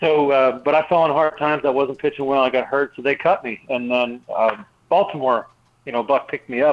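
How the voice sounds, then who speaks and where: A plain, everyday voice goes at a fairly quick pace, its pitch varying in an ordinary way. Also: man. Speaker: retired baseball pitcher. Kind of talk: radio interview.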